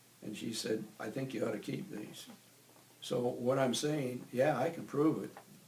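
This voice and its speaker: A man's medium-pitched voice with an American accent at a moderate pace, with audible room echo and noticeable background noise. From US Midwest, Iowa. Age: 80s+. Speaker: war veteran. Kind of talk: oral history interview.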